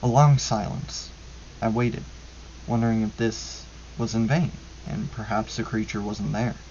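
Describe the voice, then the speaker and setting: A man takes his time at a fairly slow pace as noticeable background noise carries on. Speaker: ASMR creator reading horror stories. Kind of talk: ASMR horror story reading. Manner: soft-spoken, whispery.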